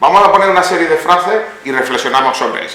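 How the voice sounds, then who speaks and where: Very wide pitch swings from a male speaker, with noticeable background noise and audible room echo. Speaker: psychologist, lecturer. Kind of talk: lecture. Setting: hall with live audience. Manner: interactive, conversational.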